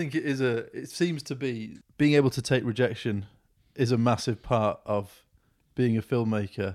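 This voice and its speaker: On a very clean recording with a silent background, a man uses an ordinary speaking voice at medium pitch with ordinary pitch variation. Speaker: podcast host. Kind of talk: casual interview.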